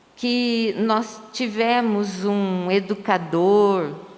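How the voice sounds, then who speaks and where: A woman speaks with a fairly high pitch and ordinary pitch variation. Audible room echo and noticeable background noise are present. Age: 60s. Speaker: retired teacher. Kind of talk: panel discussion. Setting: livestream on social media.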